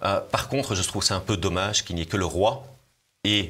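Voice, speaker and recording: The man's voice is very deep and low in pitch, and he talks at a moderate pace. The recording is very clean with a silent background. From Belgium, Brussels. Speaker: politician, party leader. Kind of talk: political interview. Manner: hesitant, repeats words.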